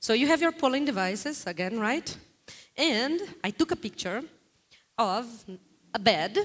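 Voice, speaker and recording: A woman speaks at a fairly slow pace in a high voice. Her pitch swings very widely. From Brazil. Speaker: guest lecturer on global data. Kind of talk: interactive lecture with audience polling. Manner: animated.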